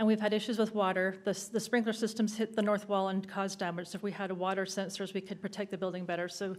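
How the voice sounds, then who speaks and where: A woman's medium-pitched voice, monotone and flat, at a very fast pace with hardly any pauses. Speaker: city staff presenting a project. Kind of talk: public meeting presentation. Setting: city council meeting. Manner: hesitant with many fillers.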